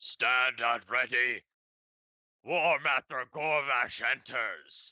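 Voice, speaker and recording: In a put-on character voice, a man speaks raspy and fairly high-pitched at a very slow pace, with a dry, close sound and no echo. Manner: barking an announcement.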